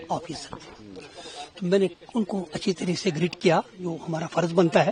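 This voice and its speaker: Moderately paced speech from a man, with noticeable background noise. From Kashmir, Baramulla. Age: 70s. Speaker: retired schoolteacher. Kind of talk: street interview.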